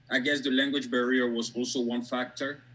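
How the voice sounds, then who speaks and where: A man with a strong French West African accent talks at a moderate pace in a bright, sharp tone. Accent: thick French West African. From Côte d'Ivoire. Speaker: academic and author. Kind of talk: interview. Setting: video call.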